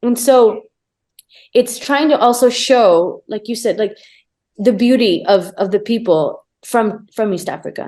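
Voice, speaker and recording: This woman's fairly high voice has a dark, mellow tone. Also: ordinary pitch variation. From Tanzania, Arusha. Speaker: conservation photographer. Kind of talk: casual chat.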